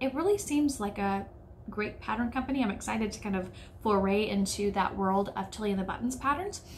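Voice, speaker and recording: Speaking fairly quickly with an American accent, a woman uses medium pitch and ordinary pitch variation. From United States. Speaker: sewing YouTuber. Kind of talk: casual vlog talk.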